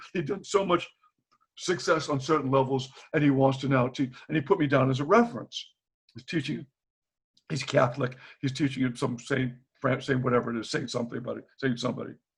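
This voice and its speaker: Speaking with an American accent, the voice is somewhat breathy and shows ordinary pitch variation. The pace is fairly quick, yet long, frequent pauses recur. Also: man, medium pitch for a man. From Boston. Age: 70s. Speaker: retired teacher. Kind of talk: casual chat. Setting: video call. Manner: animated.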